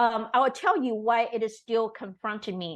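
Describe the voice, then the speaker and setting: Over a quiet background, a woman with a Taiwanese accent speaks at a fairly slow pace. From Taiwan, Taipei. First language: Mandarin Chinese. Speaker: teacher and performer. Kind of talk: interview.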